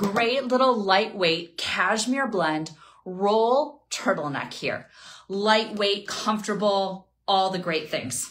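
A woman talks at a very slow pace, her intonation lively. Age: 40s. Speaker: fashion stylist livestream host. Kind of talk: live shopping stream. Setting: at home. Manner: animated. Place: home room.

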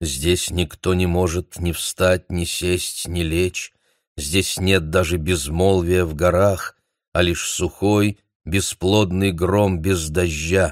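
On a very clean recording with a silent background and a dry, close sound with no echo, the voice moves at a very slow pace in a monotone, flat intonation. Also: man, very deep, low pitch for a man. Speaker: audiobook narrator. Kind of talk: reading aloud.

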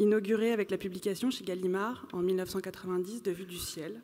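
In a quiet background, a woman talks with fairly even intonation. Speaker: moderator. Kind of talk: moderated literary panel. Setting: stage with audience. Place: hall. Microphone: podium.

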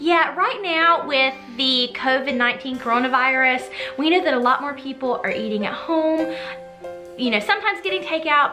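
Over faint background music, a woman speaks in a raised, projected voice at a moderate pace. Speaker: cooking channel host. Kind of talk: casual vlog chat. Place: home room.

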